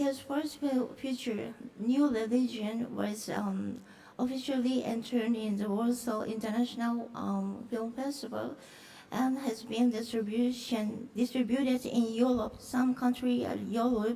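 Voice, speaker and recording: In a Japanese accent, a woman with a fairly high pitch talks at a fairly slow pace in a monotone, flat intonation, with audible room echo and noticeable background noise. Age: middle-aged. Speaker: film producer. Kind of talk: conference presentation. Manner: halting, many fillers.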